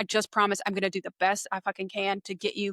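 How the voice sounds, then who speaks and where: With a Southern US accent, a woman speaks at a fairly quick pace in a medium-pitched voice with a bright, sharp tone. Her intonation is monotone and flat, and the sound is dry and close with no echo. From eastern North Carolina, US South. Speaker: public relations business owner. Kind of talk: podcast interview. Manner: casual.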